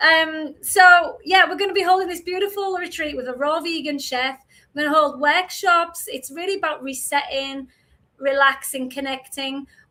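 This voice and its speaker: A woman projects her voice loudly at an extremely high pitch, her tone bright and sharp, with ordinary pitch variation. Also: moderate pace. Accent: strong Yorkshire. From Yorkshire, northern England. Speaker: podcast co-host, retreat organiser. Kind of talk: casual chat.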